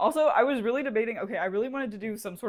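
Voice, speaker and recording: A woman is speaking. Her pace is very fast. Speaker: beauty and movie review vlogger. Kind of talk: casual makeup tutorial and movie review vlog. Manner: animated.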